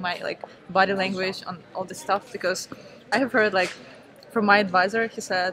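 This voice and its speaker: The speaker has an Eastern European accent and a moderate pace. Intonation is fairly even, with noticeable background noise. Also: woman. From Ukraine. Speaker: startup founder. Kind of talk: interview.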